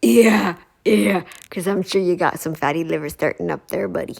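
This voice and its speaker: This woman talks at a moderate pace in an animated tone, her fairly low voice showing vocal fry. Her pitch swings very widely. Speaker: reaction commentator. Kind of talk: reaction commentary.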